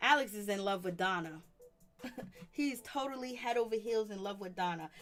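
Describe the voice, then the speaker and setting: There is music in the background as a woman speaks. Her voice is medium in pitch with ordinary pitch variation. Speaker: reality TV commentary livestreamer. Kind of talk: livestream commentary. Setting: online livestream. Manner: fast; animated.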